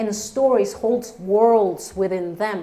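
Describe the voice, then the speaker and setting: Speaking with a Spanish accent at a very slow pace, a woman uses a medium pitch and ordinary pitch variation. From Colombia. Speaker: storyteller. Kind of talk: stage storytelling.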